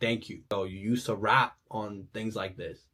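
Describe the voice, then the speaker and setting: A man speaks in an enthusiastic tone, his voice somewhat breathy. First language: not English. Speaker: music reviewer. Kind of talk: album reaction commentary. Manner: casual, enthusiastic.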